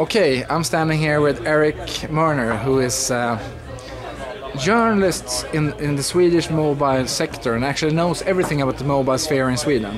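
A man speaks at a fairly quick pace. Behind him, clear music is heard in the background. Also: ordinary pitch variation. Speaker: interviewer. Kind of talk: interview questions. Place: meeting room.

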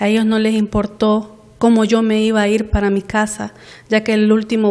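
In a Honduran accent, a woman speaks with a fairly high pitch and a dark, mellow tone. Her intonation is monotone and flat, and the background is quiet. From Honduras, Puerto Cortés; Honduras. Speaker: employee denouncing workplace abuse. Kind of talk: news interview testimony. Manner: halting, with many fillers. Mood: aggrieved, complaining. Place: office.

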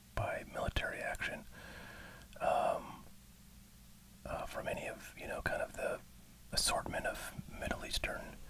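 Soft-spoken whispering comes at a moderate pace over light background noise. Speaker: streamer commenting on news. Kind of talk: casual commentary. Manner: soft ASMR whisper, hesitant news chat.

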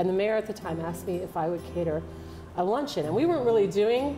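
A woman talks at a very fast pace. Music plays clearly in the background. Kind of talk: interview answer. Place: bar.

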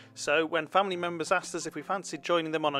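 A man speaks with ordinary pitch variation. Music plays in the background. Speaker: travel vlogger narrator. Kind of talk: travel vlog narration.

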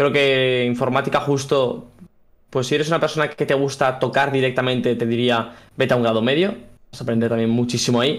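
Against a quiet background, a man with a normal speaking voice talks at a fairly quick pace, medium in pitch with fairly even intonation. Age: 20s. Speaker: software engineer and content creator; content creator. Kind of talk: casual interview. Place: home room. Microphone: studio mic.

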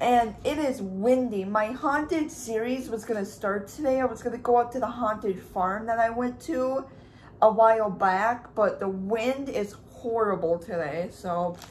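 Her pace fairly slow, a woman talks with ordinary pitch variation. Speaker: vlogger. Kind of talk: casual vlog chat. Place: kitchen. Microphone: phone near.

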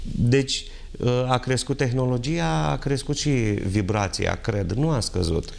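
A man at a very slow pace, with very wide pitch swings. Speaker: TV guest. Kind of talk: interview answer. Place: studio. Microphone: lapel.

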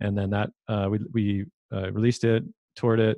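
A man with a Canadian accent, fairly low in pitch, fairly quick and monotone with flat intonation. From Vancouver, Canada. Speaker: filmmaker and podcast host. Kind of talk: casual interview.

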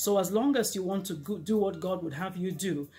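Moderate pacing and ordinary pitch variation from a woman. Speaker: speaker. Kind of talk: inspirational talk to camera. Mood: earnest, warm encouragement. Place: home room. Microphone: lapel.

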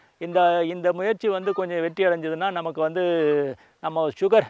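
The sound is dry with no echo as a man speaks in a high pitch with fairly even intonation. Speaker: retired civil servant turned organic farmer. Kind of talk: interview, farm walkthrough explanation. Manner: halting, many fillers and repetitions. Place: farm machine.

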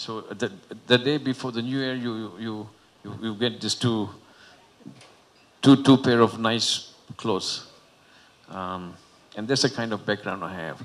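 A man speaks at a fairly slow pace with long, frequent pauses, big swings in loudness, and ordinary pitch variation. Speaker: panelist. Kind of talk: personal story at panel forum. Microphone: handheld.

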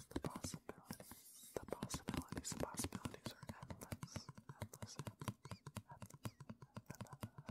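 A man whispers at a moderate pace, leaving long, frequent pauses. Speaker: ASMR creator. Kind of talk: ASMR whispered reading. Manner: whispered, soft. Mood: playful, calm. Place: home room. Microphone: studio mic.

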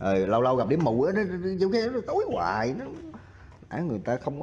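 With big pitch swings and a slightly mellow tone, a man speaks at a fairly quick pace and a fairly high pitch.

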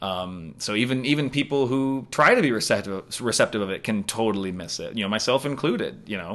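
Using an ordinary speaking voice with an American accent, a man talks at a fairly quick pace with hardly any pauses. His pitch is medium with ordinary variation, and the background is quiet. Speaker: comedian. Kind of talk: casual chat.

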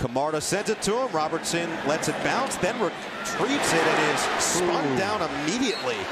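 Excited and at a moderate pace, a man talks in a high pitch with very wide pitch swings, very even loudness and hardly any pauses, over noticeable background noise. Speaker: play-by-play football announcer. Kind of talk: live play-by-play football commentary, calling each snap. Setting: stadium broadcast booth. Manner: brisk clipped bursts rising to excited calls on big plays.

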